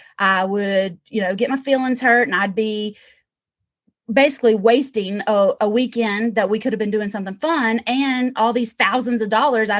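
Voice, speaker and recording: A woman talks in an animated tone, her pitch fairly high and her pitch variation ordinary. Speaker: real estate investor. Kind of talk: interview. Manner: fast.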